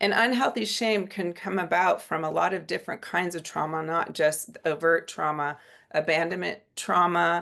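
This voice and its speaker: A woman's fairly low-pitched voice, bright and sharp in tone with vocal fry, over a quiet background. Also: ordinary pitch variation, moderate pace. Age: 60s. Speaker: psychiatrist. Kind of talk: lecture. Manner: casual, with many fillers.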